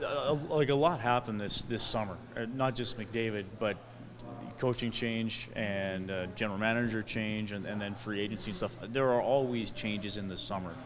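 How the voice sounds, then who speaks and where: A man with a fairly low pitch and fairly even intonation, against noticeable background noise. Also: moderate pace. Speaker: sports interviewer. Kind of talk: interview. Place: hall. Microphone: handheld.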